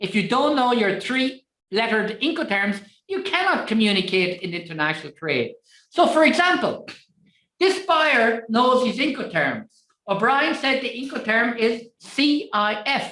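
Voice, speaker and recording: A woman's high, bright, sharp voice with an Irish accent, very wide pitch swings and a fairly slow pace. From Ireland. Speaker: trade finance trainer. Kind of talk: webinar lecture. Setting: online webinar.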